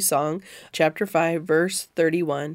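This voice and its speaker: An ordinary speaking voice from a woman with an American accent, fairly low in pitch and fairly slow, on a very clean recording with a silent background. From Missouri. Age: 40s. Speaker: Bible teacher and podcast host. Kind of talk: Bible study discussion; reading scripture aloud.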